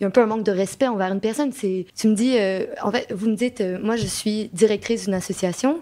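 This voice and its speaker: A woman at a fairly high pitch with ordinary pitch variation, very fast and with hardly any pauses. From Quebec. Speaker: association co-director. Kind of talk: debate discussion. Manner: hesitant, many fillers and repetitions.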